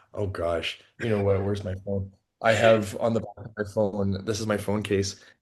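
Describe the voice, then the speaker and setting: Against a quiet background, a man with an American accent talks at a moderate pace in a somewhat breathy, monotone, flat delivery. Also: fairly low pitch for a man. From Canada, Toronto. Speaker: postdoctoral researcher. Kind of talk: podcast interview. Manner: casual, many fillers and restarts.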